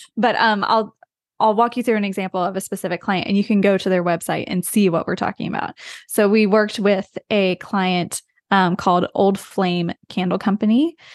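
Against a quiet background, a woman with an American accent and an ordinary speaking voice talks at a moderate pace and medium pitch with fairly even intonation. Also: dry, close sound with no echo. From US, rural West Virginia. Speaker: brand designer, design studio founder. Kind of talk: casual interview.

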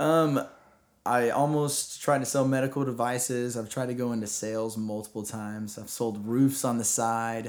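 In a Texan accent, a man speaks at a moderate pace with fairly even intonation. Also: medium pitch for a man. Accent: Texan American. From Texas. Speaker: middle school teacher. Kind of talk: interview.

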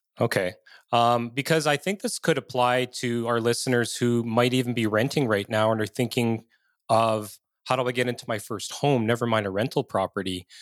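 This man talks at a moderate pace with fairly even intonation, in an unremarkable speaking voice. The sound is dry and close with no echo, on a very clean recording with a silent background. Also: medium pitch for a man. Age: 50s. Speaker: podcast host, real estate investor. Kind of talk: interview conversation.

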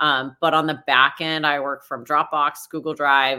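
A woman speaks in a very deep, low voice with a flat, monotone delivery. Her tone is bright and sharp, on a very clean recording with a silent background. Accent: American. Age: 40s. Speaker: real estate broker. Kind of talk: interview.

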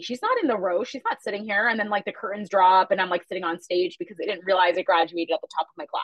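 A woman speaking at a very fast pace. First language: Chhattisgarhi. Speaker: media company founder.

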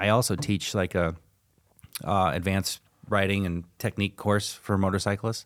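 In a very clean recording with a silent background, a man with a plain, everyday voice and fairly low pitch speaks at a moderate pace, his loudness very even and his intonation fairly even. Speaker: restaurant owner. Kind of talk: casual chat.

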